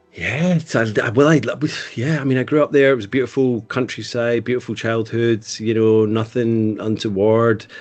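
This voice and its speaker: At a moderate pace, a man with a West Coast Scottish accent speaks at medium pitch with ordinary pitch variation. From Scotland, west coast (Eaglesham near Glasgow). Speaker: podcast guest, creative. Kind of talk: casual interview chat. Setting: video call.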